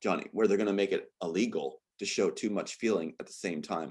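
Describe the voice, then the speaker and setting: In an animated tone, a man with a fairly low voice speaks on a very clean recording with a silent background. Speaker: interview guest, former performer and screenwriter. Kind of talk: interview. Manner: fast.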